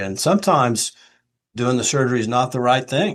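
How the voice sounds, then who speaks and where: A man's plain, everyday voice at a medium pitch and a fairly quick pace, against a quiet background. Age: 60s. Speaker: retired orthopedic surgeon and expert witness. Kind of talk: podcast interview. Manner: conversational, with fillers.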